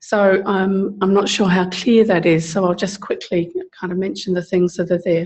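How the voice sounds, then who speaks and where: This woman's voice sits at a medium pitch and sounds somewhat breathy. She talks at a moderate pace with flat, monotone intonation. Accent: South London. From England, South London. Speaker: social services advocate. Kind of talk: seminar talk. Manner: halting, many fillers.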